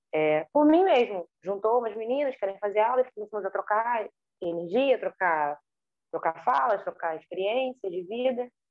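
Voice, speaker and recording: An unremarkable speaking voice from a woman, lively in intonation and fairly high-pitched. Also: moderate pace. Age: 30s. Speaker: dancer and choreographer. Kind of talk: interview.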